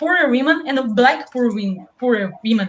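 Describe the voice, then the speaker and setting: A woman speaks with a Brazilian Portuguese accent at a fairly slow pace. Her pitch is high. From South Brazil. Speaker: left-wing activist teacher. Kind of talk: interview. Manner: deliberately slowed down; halting. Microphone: poor sound.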